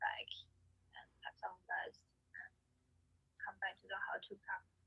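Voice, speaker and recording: A woman is speaking. She has a Chinese accent. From China (Anhui and Shanghai). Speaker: orchestral violinist. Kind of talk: interview answer.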